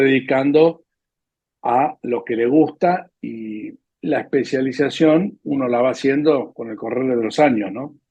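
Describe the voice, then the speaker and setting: Fairly high in pitch, a man speaks with a Rioplatense accent and ordinary pitch variation. His pace is fairly slow. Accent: Argentine Rioplatense Spanish. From Argentina. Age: 70s. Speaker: veterinarian. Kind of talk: interview, life story.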